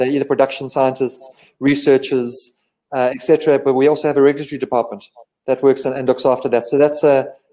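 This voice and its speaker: A man speaks very fast in a fairly high pitch. His tone is dark and mellow. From South Africa. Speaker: medical company representative. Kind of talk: live online interview. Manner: halting, with many repetitions and fillers.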